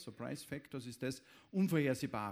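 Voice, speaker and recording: A man speaks in an unremarkable speaking voice, fairly high in pitch. He keeps a moderate pace with ordinary pitch variation. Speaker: event moderator. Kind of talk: formal introduction; public stage conversation. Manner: formal.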